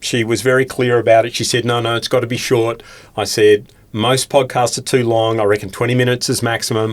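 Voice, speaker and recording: A man with an Australian accent, fairly quick and flat in a monotone. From Tasmania, Australia (Hobart). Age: 60s. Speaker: recruitment trainer and industry commentator. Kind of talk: podcast interview.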